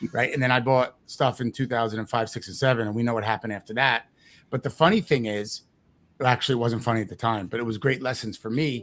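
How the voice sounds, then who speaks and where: A man with a New Jersey accent talks at a very fast pace in a medium-pitched voice. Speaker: real estate investing coach. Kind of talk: interview. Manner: animated.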